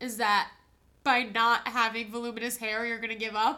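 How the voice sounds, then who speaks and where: Here a woman speaks with a fairly high pitch. Her tone is bright and sharp. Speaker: podcast co-host. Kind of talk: casual banter chat.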